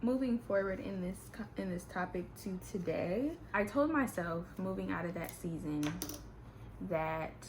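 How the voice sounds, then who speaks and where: In an animated tone with lively intonation, the speaker goes at a fairly slow pace, with audible room echo. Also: woman, medium pitch for a woman. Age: 20s. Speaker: beauty vlogger. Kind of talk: casual chat.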